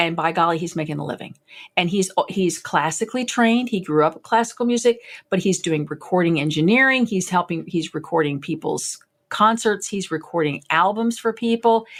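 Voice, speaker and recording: Animated in tone, a woman with a medium pitch and lively intonation talks at a fairly quick pace. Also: very clean recording, silent background. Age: 60s. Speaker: violist and music teacher. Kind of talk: interview.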